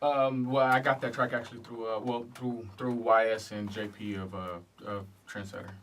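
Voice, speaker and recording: Speaking at a medium pitch, a man talks with a slight Southern accent and fairly even intonation. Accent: slight southern drawl. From Oceanside, California, partly raised in Louisiana. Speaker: rapper. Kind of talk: radio interview. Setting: radio studio. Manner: halting, repeats words.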